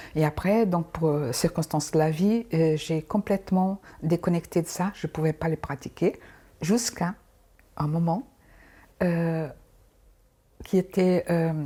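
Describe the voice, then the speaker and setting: A woman speaks in a dark, mellow tone that is somewhat breathy, at a very slow pace with long, frequent pauses. The recording is very clean, with a silent background. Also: fairly low pitch for a woman, ordinary pitch variation. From Angola. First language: Portuguese (speaking French). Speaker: dancer and cancer survivor. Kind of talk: interview testimony. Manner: halting, many repetitions; sing-song intonation.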